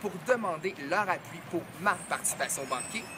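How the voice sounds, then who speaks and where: A man's speech moves at a moderate speed, his intonation lively, with noticeable noise behind him. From Quebec, Montreal. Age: 20s. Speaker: game show applicant. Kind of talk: audition video. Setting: outdoors.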